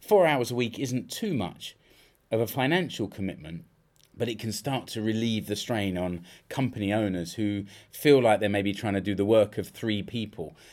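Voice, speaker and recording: In a British accent, a man speaks at a fairly low pitch with ordinary pitch variation on a very clean recording with a silent background. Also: moderate pace. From UK. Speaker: podcast host and freelance business consultant. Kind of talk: solo podcast monologue. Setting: home studio.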